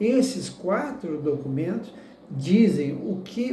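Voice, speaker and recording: A man speaks with a high pitch and lively intonation. Noticeable background noise and audible room echo surround him. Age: 60s. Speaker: political candidate. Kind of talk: interview answers. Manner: halting.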